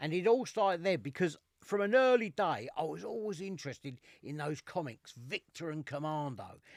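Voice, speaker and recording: On a very clean recording with a silent background and a dry, close sound with no echo, a man with an East London accent speaks at a moderate pace in a fairly high pitch with very wide pitch swings. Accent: East End London (Cockney). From East London, England. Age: 60s. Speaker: military collector and podcast co-host. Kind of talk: casual chat.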